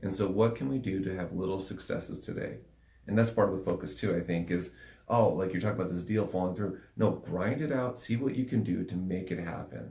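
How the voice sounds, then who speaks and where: A man talks at a fairly quick pace in a very deep, low pitch with a dark, mellow tone and a somewhat breathy quality. His pitch varies in an ordinary way, and audible room echo surrounds the voice. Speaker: podcast co-host, coach. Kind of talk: casual podcast chat. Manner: soft-spoken.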